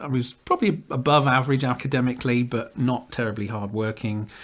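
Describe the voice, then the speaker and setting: Man with a southern English accent, medium pitch, ordinary pitch variation, fairly quick pace, very clean recording with a silent background. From southwest England. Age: 60s. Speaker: Anglican priest. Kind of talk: casual interview. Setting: rectory. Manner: halting.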